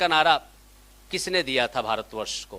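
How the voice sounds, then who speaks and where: A man speaks in an animated, bright, sharp tone with very wide pitch swings. The recording is very clean, with a silent background. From India, Gujarat (Kathiawar, Saurashtra). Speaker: academic lecturer. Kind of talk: seminar lecture. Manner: animated, interactive with audience.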